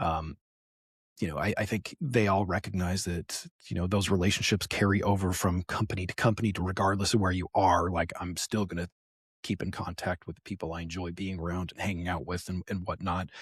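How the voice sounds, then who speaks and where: A man talks at a fairly quick pace in a very deep, low pitch, somewhat breathy, with monotone, flat intonation. The recording is very clean with a silent background and has a dry, close sound with no echo. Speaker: business development professional in games. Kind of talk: casual interview chat. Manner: soft-spoken.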